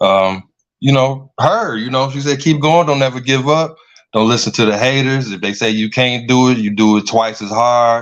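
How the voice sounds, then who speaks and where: In an American accent, a man talks at a moderate pace and medium pitch in an ordinary speaking voice. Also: ordinary pitch variation. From Flint, Michigan. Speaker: YouTube filmmaker. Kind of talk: interview.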